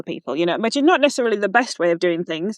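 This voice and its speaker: A woman with a Yorkshire accent. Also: dry, close sound with no echo. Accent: broad Yorkshire. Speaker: walking coach. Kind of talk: interview conversation. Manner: hesitant, many fillers and restarts.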